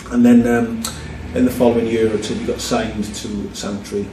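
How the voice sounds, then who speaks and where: A man in a Welsh Valleys accent at a fairly quick pace, with audible room echo and noticeable background noise. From South Wales, Merthyr Tydfil (valleys). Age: 40s. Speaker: film producer, director and actor. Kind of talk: casual interview.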